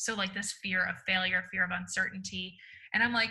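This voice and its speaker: The voice belongs to a woman. She speaks in a raised, projected voice. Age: 20s. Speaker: author and speaker. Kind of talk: interview conversation.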